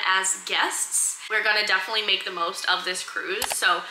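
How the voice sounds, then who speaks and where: With audible room echo and light background noise, a woman speaks with fairly even intonation. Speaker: travel vlogger. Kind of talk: casual vlog chat. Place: home room.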